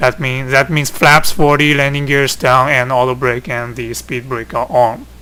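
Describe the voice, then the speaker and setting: A man in a Chinese accent at a moderate pace, medium-pitched, monotone and flat, with hardly any pauses. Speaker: flight simulator hobbyist. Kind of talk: tutorial. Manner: halting.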